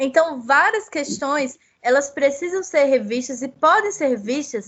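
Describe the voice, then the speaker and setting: Speaking with a Paraíba accent, a woman uses a high pitch and lively intonation. Her pace is fairly slow. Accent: Paraíba (northeastern Brazilian). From Paraíba, Brazil (Northeast). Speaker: legal researcher, children's rights. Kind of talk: academic seminar talk.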